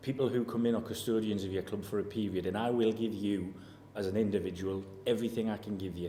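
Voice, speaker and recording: A man speaks at a fairly quick pace in a dark, mellow tone with monotone, flat intonation. Room echo is audible. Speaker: football manager. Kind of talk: press interview. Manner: level tone.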